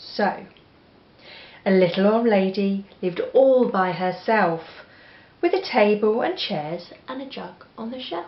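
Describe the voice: A woman with an English accent speaks slowly at a medium pitch, with lively intonation. The room echo is audible.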